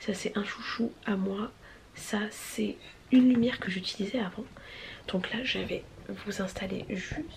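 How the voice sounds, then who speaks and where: A woman whispers at a fairly slow pace with long, frequent pauses over noticeable background noise. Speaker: vlogger, mother of two boys. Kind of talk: casual vlog talk. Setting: indoors at home filming space. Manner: casual, with many fillers; whispering.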